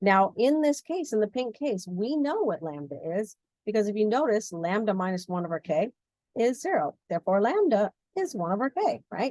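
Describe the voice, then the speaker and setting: A woman's fairly high voice with very wide pitch swings, dry and close with no echo. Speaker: physics instructor. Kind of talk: lecture. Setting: recorded video lesson. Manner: fast.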